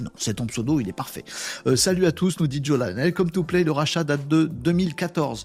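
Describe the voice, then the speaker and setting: A fairly high-pitched, somewhat breathy man's voice with lively intonation. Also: moderate pace. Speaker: livestream host. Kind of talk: casual live chat with viewers. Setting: live stream with chat comments. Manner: animated, informal.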